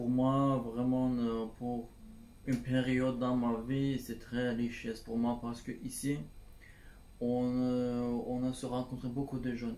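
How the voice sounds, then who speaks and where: Speaking with a Turkish accent, a man uses a medium pitch and a dark, mellow tone in a monotone, flat intonation, with audible room echo. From Turkey, Istanbul. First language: Turkish (speaking French). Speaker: civic service volunteer. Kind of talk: testimony. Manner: halting, many hesitations.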